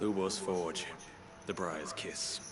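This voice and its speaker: A man performs a put-on character voice. Loud background noise runs behind him. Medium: video game.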